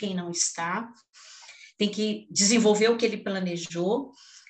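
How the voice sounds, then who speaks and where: Noticeable background noise sits behind a woman speaking at a medium pitch. Her pace is moderate and her intonation fairly even. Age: 60s. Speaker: education panel moderator. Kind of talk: panel discussion.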